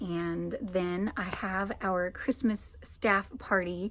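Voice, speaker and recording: A woman speaks in a medium pitch with fairly even intonation, in a normal speaking voice. The recording is very clean, with a silent background. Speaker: vlogger, church musician. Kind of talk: casual vlog chat. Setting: music library, sitting on floor.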